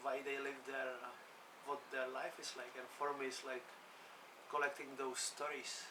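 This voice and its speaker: Fairly slow speech in a Czech accent, with audible room echo. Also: man. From Czech Republic. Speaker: sea kayak coach and adventurer. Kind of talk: interview. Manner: casual, hesitant with fillers.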